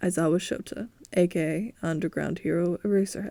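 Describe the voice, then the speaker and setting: Using a put-on character voice, a woman talks at a fairly quick pace in a raspy voice of fairly low pitch. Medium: read story. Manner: deadpan, gruff.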